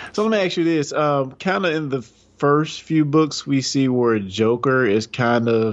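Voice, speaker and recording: Using lively intonation, a man with an ordinary speaking voice talks at a fairly slow pace. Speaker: podcast co-host. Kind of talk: casual chat.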